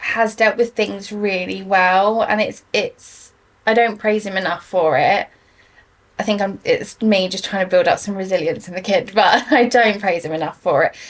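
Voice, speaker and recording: With an English accent, a woman speaks at a fairly slow pace in a medium pitch with ordinary pitch variation. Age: 30s. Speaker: mental health guest. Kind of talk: casual chat.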